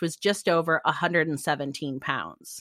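The speaker talks at a moderate pace with an American accent and a bright, sharp tone. The recording is very clean with a silent background and a dry, close sound with no echo. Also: woman. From Midwest and California, US. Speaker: romance novelist podcast host. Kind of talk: casual chat.

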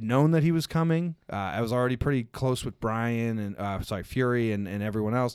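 With an unremarkable speaking voice, a man talks at a fairly quick pace and medium pitch with lively intonation, on a very clean recording with a silent background. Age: 30s. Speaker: professional wrestler. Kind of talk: casual chat. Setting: studio.

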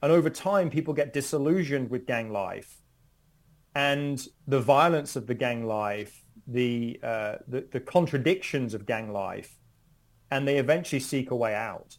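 A man with a British accent, medium pitch, ordinary pitch variation and a moderate pace. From United Kingdom. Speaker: criminology professor. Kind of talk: interview. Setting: at home, remote.

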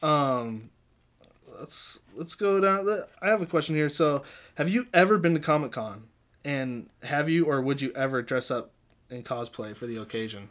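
Very cleanly recorded against a silent background, a man with an ordinary speaking voice talks at a moderate pace in a fairly high pitch, with lively intonation and big swings in loudness. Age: 30s. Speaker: musician and composer. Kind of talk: casual chat.

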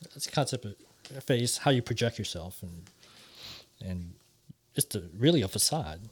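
This somewhat breathy voice has lively intonation and big swings in loudness. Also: man, medium pitch for a man. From Philippines. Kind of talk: casual discussion.

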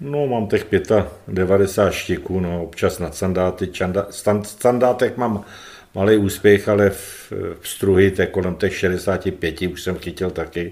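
Speaking at a fairly slow pace, a man with a fairly low pitch keeps his intonation fairly even. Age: 60s. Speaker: retired footballer. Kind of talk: interview. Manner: halting, repetitive.

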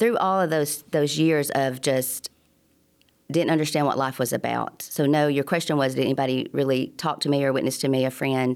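A woman speaks in an Alabama accent at a moderate pace. Her pitch is very deep and low, and her intonation fairly even. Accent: Southern US (Alabama). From US South, Alabama. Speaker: church member sharing testimony. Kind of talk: testimony.

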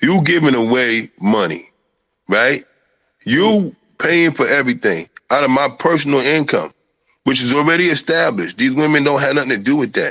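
A man with a fairly high pitch and vocal fry, lively intonation, very even loudness, and long, frequent pauses. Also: moderate pace. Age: 50s. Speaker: polygamous husband discussing marriage. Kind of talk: casual chat.

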